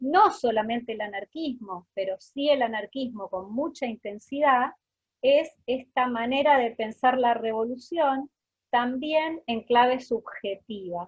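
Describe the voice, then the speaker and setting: A woman talks at a high pitch, at a very slow pace. Her pitch variation is ordinary. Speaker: researcher and lecturer. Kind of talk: lecture. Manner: deliberately slowed speech.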